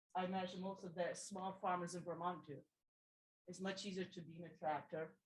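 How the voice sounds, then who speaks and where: A woman speaks at a medium pitch in a flat monotone, somewhat breathy. Her loudness swings a lot. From Brazil. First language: Portuguese. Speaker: audience member. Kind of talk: audience question. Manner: halting.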